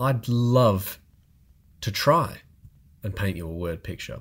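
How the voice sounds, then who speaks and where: Breathy to some degree, a man speaks at a very slow pace with lively intonation in a very clean recording with a silent background. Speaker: podcast co-host. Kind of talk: casual chat.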